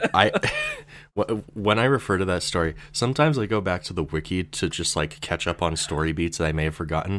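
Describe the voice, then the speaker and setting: Fairly quick speech from a man with a very deep, low voice and ordinary pitch variation, over noticeable background noise. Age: 20s. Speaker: YouTube theory creator. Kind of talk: casual chat. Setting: video call.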